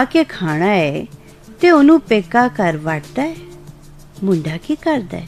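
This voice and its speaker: A woman's voice swings very widely in pitch while music plays in the background. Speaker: radio presenter. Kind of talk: Punjabi story narration.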